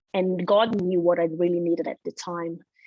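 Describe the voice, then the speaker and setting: A woman speaks with a Brazilian Portuguese accent. Her pace is fairly quick. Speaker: financial seminar presenter. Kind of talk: personal testimony in a seminar.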